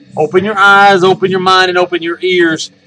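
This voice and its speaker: A man with a high voice speaks at a fairly quick pace, his tone bright and sharp and his voice raised and projected. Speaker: paranormal video show host. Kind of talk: casual monologue to camera.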